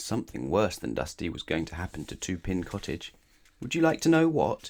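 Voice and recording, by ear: Vocal fry, very wide pitch swings and a fairly quick pace. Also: man, low pitch for a man.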